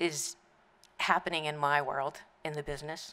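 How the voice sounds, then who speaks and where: A bright, sharp tone with an American accent. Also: woman. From US, South Florida. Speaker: newspaper editor. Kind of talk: memorial speech. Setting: memorial service in a museum hall with audience.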